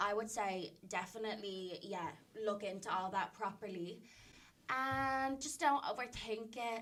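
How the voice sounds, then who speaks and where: A woman with an Irish accent speaks at a fairly slow pace. Her pitch is fairly high, with ordinary variation. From Ireland. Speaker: social media influencer. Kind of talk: podcast interview answer.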